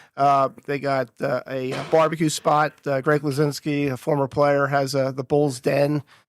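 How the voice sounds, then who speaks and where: A man's flat, monotone delivery in a New Jersey accent, fairly slow, with a dry, close sound and no echo. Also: fairly high pitch for a man, hardly any pauses. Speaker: HVAC trainer. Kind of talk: casual chat. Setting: makeshift podcast set at a conference resort. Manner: halting, many fillers.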